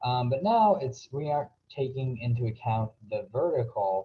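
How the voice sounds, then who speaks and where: A man is speaking at a medium pitch. His voice is somewhat breathy. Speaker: physics tutor. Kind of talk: tutorial. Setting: screen recording. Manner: hesitant, many fillers.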